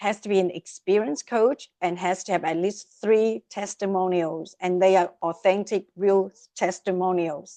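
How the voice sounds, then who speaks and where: At a moderate pace, a woman of medium pitch talks in a dark, mellow tone with ordinary pitch variation, the sound dry and close with no echo. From Vietnam. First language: Vietnamese. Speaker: coaching platform founder. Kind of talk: interview. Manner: animated.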